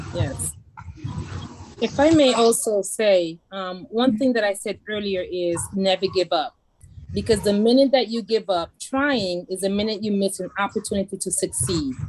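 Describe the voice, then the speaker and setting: This woman speaks with a Haitian accent. Her intonation is lively. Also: medium pitch for a woman, moderate pace. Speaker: judge. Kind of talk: panel discussion. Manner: animated.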